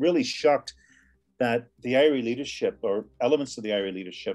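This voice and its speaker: A man rattles along very quickly on a very clean recording with a silent background. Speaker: former IRA member and ex-Marine, author. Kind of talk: interview. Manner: halting, many repetitions.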